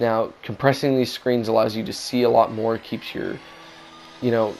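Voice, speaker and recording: A man's medium-pitched, monotone voice with flat intonation, with music in the background. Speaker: gaming channel host. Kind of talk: game review narration.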